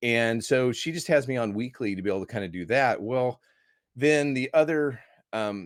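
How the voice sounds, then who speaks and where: A man talks in an American accent at a medium pitch. He keeps a moderate pace with ordinary pitch variation. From US Midwest (Iowa). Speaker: movie critic and evangelist. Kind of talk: podcast interview. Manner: animated.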